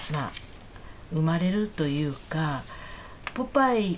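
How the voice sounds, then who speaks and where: Over noticeable background noise and audible room echo, a woman with fairly low pitch talks at a fairly slow pace with lively intonation. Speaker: podcast co-host. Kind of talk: casual chat. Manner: formal.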